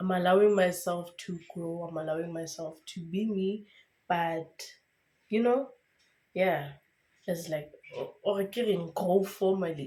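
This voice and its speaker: A woman with a fairly low pitch and a dark, mellow tone speaks at a moderate pace with fairly even intonation and long, frequent pauses. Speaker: lifestyle vlogger. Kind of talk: casual vlog monologue. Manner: chatty, with many fillers.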